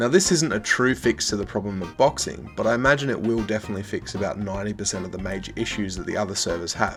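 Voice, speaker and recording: Music plays in the background behind a man with a fairly low pitch. He speaks at a very fast pace with hardly any pauses. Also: lively intonation. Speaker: gaming video creator. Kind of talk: casual gaming news commentary.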